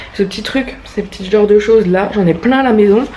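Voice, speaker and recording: A woman's fairly high voice over noticeable background noise. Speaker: vlogger. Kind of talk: casual vlog talk to camera.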